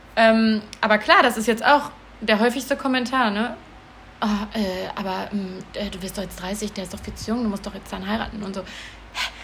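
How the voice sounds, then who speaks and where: A woman's fairly high pitch with fairly even intonation, big swings in loudness, and noticeable background noise. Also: moderate pace. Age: 20s. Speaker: podcast co-host, cat rescuer. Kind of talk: casual chat. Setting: recording at home with co-host in the room.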